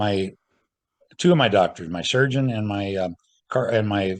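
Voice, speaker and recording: A man's fairly low voice, a plain, everyday voice, with ordinary pitch variation over a quiet background. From Central California. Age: 60s. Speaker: square dance caller and recording artist. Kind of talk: casual interview chat.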